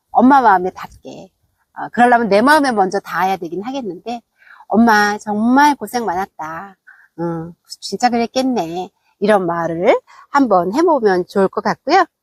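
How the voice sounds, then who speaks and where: A woman with a normal speaking voice talks at a fairly slow pace, her pitch medium and her intonation lively. Her loudness swings widely, and the sound is dry and close with no echo. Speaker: vlogger. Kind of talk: casual vlog monologue. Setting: outdoors.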